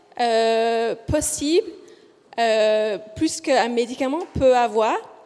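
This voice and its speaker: Very slow, lively speech from a woman with a high pitch and a slight Australian accent. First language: English (speaking French). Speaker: physiotherapist researcher. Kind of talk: conference presentation. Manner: deliberately slow; hesitant, many fillers.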